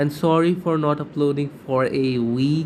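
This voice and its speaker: A man with a non-native accent speaks at a fairly slow pace. His pitch is fairly high and his intonation monotone and flat. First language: not English. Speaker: YouTuber. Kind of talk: casual vlog talk to camera. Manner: halting, frequent repetitions.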